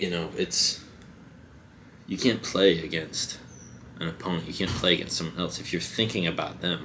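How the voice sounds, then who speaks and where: With long, frequent pauses, a man speaks in a very deep, low voice with a bright, sharp tone and ordinary pitch variation, with audible room echo. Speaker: vlogger. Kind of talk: casual monologue. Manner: halting.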